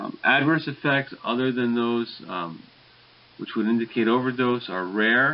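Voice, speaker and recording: This man's voice sits at a medium pitch with ordinary pitch variation, and he speaks at a moderate pace. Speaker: pharmacology lecturer. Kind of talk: recorded lecture. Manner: mumbling a little; hesitant, many fillers.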